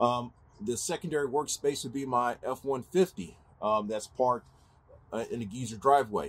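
A somewhat breathy voice talks at a fairly slow pace. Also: man. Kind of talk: casual vlog chat. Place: street. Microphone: phone near.

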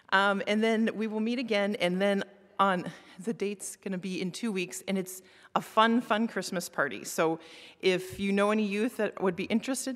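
The background is quiet. At a moderate pace, a woman talks with ordinary pitch variation. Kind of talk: church announcements. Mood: light, self-deprecating. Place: church. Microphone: podium.

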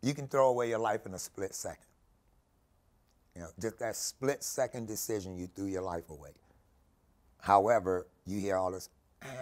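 Over a quiet background, a man speaks at a moderate pace with a fairly low pitch, ordinary pitch variation and big swings in loudness. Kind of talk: interview answer. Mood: warm, smiling, reflective.

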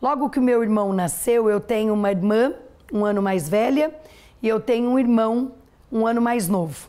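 Against a quiet background, a woman with a fairly high pitch and a dark, mellow tone speaks at a moderate pace with ordinary pitch variation and very even loudness. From interior of São Paulo state, Brazil. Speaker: dentist and franchise entrepreneur; interview guest. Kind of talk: TV interview, life story. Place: studio.

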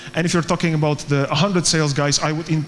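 A man with a Polish accent at a fairly quick pace, over light background noise. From Poland. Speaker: startup co-founder and recruiter; conference speaker. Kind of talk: conference talk. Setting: stage with audience. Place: hall.

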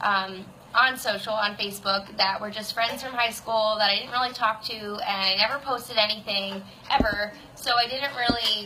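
A woman talks at a moderate pace with fairly even intonation. Light background noise sits behind her. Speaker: online fitness coach. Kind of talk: casual vlog chat. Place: home room. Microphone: phone near.

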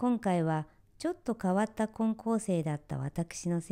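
In a very clean recording with a silent background, a woman with an ordinary speaking voice talks fairly slowly at a medium pitch with lively intonation. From Japan, rural area near Tokyo. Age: 60s. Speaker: kimono dressing instructor. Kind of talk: scripted narration. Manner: formal.

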